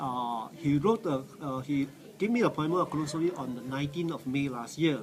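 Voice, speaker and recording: A man's fairly high-pitched voice at a fairly quick pace, with lively intonation over noticeable background noise. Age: 60s. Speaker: cancer survivor. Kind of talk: testimony. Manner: halting, many fillers.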